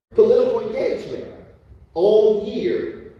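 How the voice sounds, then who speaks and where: A man talks in a room with audible echo while noticeable background noise runs underneath. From US Midwest, Gary, Indiana. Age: 60s. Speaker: community activist. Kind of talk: public speech.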